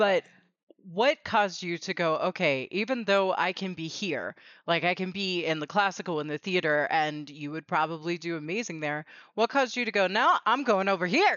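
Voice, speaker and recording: A woman has an ordinary speaking voice with a medium pitch. She talks at a moderate pace with ordinary pitch variation. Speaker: podcast host. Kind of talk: casual interview chat.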